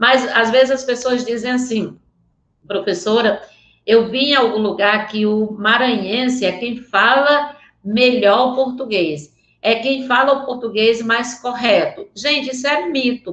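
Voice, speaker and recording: Woman with a high pitch, a fairly slow pace and ordinary pitch variation. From Northeast Brazil (rural area near Vaz Alegre). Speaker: teacher. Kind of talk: online lecture. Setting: remote video link. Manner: animated.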